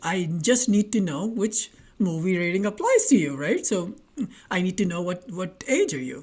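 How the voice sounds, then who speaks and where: A somewhat breathy woman's voice with a non-native accent and very wide pitch swings, on a very clean recording with a silent background. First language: not English. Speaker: online tech tutor. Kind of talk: tutorial. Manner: animated; halting, with repetitions and fillers.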